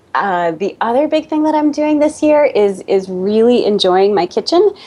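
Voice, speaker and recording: A woman speaks in a Boston accent. Her pitch swings very widely. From US, Boston. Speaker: Pilates studio owner and fitness expert. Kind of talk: interview.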